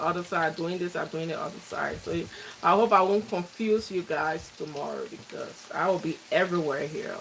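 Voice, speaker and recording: Intonation stays fairly even at a moderate pace. Noticeable background noise is present. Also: woman. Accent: Liberian. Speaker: cooking vlogger. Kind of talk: live cooking tutorial.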